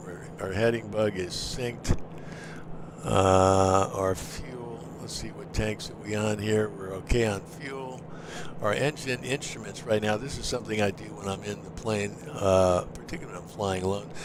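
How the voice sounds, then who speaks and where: Over noticeable background noise, a man speaks at a moderate pace and fairly low pitch, with ordinary pitch variation and big swings in loudness. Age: 60s. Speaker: flight sim streamer and pilot. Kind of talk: live stream commentary.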